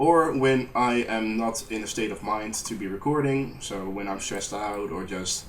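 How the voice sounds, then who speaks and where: Over audible room echo, a man with a strong Dutch accent talks at a fairly low pitch with ordinary pitch variation. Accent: thick Dutch. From Netherlands. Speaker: gaming YouTuber. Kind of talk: post-recorded gameplay commentary. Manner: hesitant, many fillers. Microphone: poor audio, lots of background noise.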